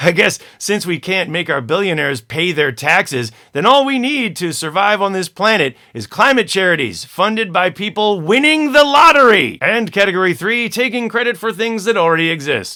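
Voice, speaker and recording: A man with an American accent projects his high, bright, sharp voice at a moderate pace with hardly any pauses. His pitch swings very widely. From American living in the Netherlands. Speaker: comedian. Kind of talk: comedic news commentary to camera.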